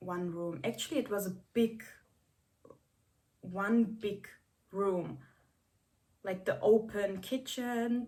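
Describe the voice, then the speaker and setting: Speaking very slowly with long, frequent pauses, a woman with a non-native accent has a medium pitch and a dark, mellow, somewhat breathy tone. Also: ordinary pitch variation. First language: not English. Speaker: vlogger. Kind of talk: casual vlog talk. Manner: hesitant, many fillers.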